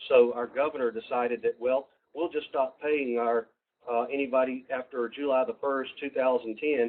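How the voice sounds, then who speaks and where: Monotone, flat intonation runs through this man's speech. He moves at a moderate pace. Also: medium pitch for a man. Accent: Southern US. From US South, Georgia. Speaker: university program presenter. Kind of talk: webinar presentation. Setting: online webinar. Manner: halting, many fillers.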